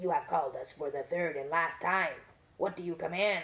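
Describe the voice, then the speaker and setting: Putting on a raspy character voice, a woman speaks at a moderate pace in a fairly low pitch. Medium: read story. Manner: formal, solemn.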